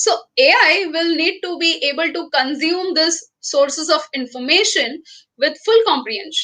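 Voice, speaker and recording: A woman with an Indian accent speaks in a raised, projected voice at an extremely high pitch, with a bright, sharp tone, lively intonation and a moderate pace. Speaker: professor. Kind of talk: lecture. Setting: webinar.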